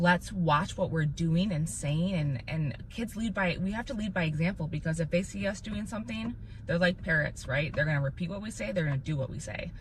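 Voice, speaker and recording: Amid audible room echo, the speaker uses an animated tone and lively intonation, with hardly any pauses. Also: woman, fairly low pitch for a woman. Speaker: parent podcast host. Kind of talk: casual chat. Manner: loud.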